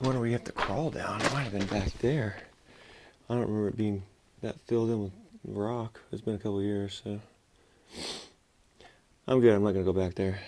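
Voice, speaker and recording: Light background noise sits behind a man speaking at a fairly quick pace. His pitch is fairly low and his intonation fairly even. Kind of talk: casual vlog chat. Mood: slightly cautious. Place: tunnel cave. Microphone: phone near.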